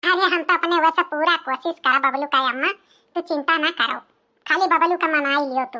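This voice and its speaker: In a cartoonish character voice, a woman speaks at an extremely high pitch with fairly even intonation, very even loudness and a moderate pace, on a very clean recording with a silent background. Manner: chatty, confiding.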